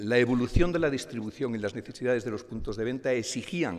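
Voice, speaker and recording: A man in a normal speaking voice, medium pitch, ordinary pitch variation and a fairly quick pace. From Spain, León province. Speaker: company president. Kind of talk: award acceptance speech. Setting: stage with audience.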